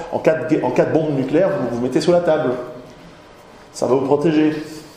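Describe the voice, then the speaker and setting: Amid audible room echo and noticeable background noise, a man speaks at a fairly quick pace and fairly high pitch with fairly even intonation. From Switzerland. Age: 40s. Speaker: author and lecturer. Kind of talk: lecture. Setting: conference hall with audience. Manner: halting, many repetitions.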